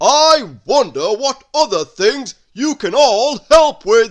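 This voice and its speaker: A loud put-on character voice from a man, extremely high in pitch, at a very slow pace. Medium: read story. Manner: loud and grand.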